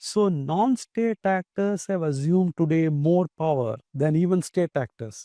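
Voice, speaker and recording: Speaking at a fairly slow pace with hardly any pauses, a man uses a high-pitched voice with a dark, mellow tone, lively intonation and very even loudness, recorded dry and close with no echo over a quiet background. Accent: Tamil Indian. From Tamil Nadu, India. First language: Tamil. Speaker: retired judge, human rights commission chair. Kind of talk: interview. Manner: measured, formal.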